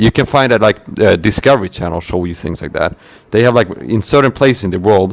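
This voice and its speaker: A man talks with ordinary pitch variation. His voice sits at a medium pitch. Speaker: self-described targeted individual, channel host. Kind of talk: casual chat. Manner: fast; animated.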